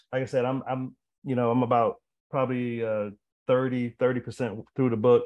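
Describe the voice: The voice holds a moderate pace with little pitch movement. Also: man, medium pitch for a man.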